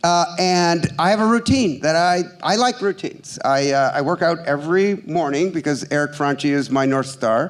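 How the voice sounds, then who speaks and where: A man's high-pitched voice with lively intonation and very even loudness, music playing in the background. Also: moderate pace, hardly any pauses. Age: 60s. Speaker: ad tech investment banker. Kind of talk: live stage interview. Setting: stage with audience. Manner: animated.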